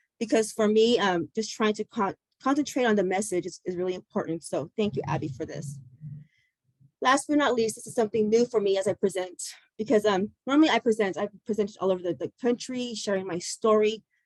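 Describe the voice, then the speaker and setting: A woman at medium pitch and a fairly quick pace, in a dry, close sound with no echo. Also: lively intonation. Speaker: public speaker on addiction recovery. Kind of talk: personal testimony presentation. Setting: video call. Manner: fast, words mushed together.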